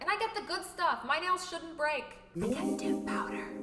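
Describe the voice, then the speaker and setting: A woman speaks in a raised, projected voice at a fairly quick pace. Noticeable background noise and audible room echo fill the recording. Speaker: YouTuber. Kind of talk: vlog monologue. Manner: animated, louder than usual for video.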